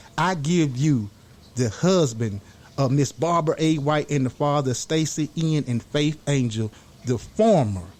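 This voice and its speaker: With a normal speaking voice, this man talks fairly slowly at a fairly high pitch and ordinary pitch variation. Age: young. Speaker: podcast host. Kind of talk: podcast interview.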